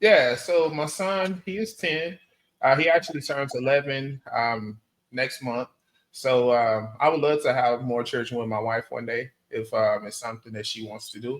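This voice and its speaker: Using an ordinary speaking voice, a man of medium pitch talks at a moderate pace with an American accent. His intonation is lively and his loudness swings widely. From Texas. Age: 30s. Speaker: dating interviewee. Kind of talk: interview.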